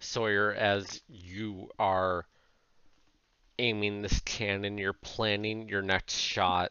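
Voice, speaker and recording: Putting on a character voice, a man speaks very slowly at a fairly low pitch. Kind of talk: tabletop game narration. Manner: casual, joking, vivid.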